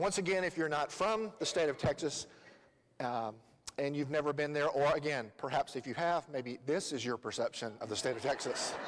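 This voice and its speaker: A man's intonation is lively, and he keeps a moderate pace. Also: fairly high pitch for a man. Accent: Southern US. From Tennessee. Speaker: lay preacher. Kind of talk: sermon. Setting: church. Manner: hesitant, many fillers.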